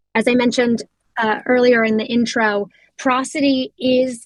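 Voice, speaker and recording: Fairly high in pitch and somewhat breathy, a woman with an American accent speaks with ordinary pitch variation in a dry, close sound with no echo. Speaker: customer success lead giving product demo. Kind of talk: product demo tutorial. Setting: online community voice session. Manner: casual, frequent filler ums.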